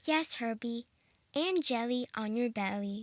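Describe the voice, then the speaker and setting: A female-sounding put-on character voice, fairly high-pitched and fairly slow. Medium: read story. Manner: bright, friendly.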